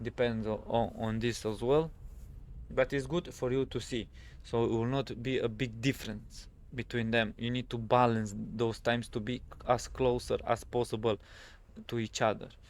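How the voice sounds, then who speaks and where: A man at medium pitch, monotone and flat, moderate pace, with a non-native accent. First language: not English. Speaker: gaming youtuber. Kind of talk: tutorial. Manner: halting, many fillers.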